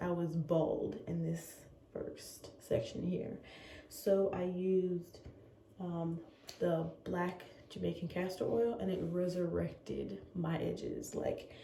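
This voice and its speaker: There is audible room echo as a woman talks at a very slow pace. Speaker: lifestyle vlogger. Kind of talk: casual vlog talk. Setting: bathroom at home. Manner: quiet, hushed.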